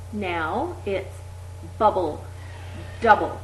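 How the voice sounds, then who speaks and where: Very slowly and with very wide pitch swings, a woman speaks at a very deep, low pitch over noticeable background noise. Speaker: exercise instructor. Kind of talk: voice exercise instruction. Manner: over-articulated.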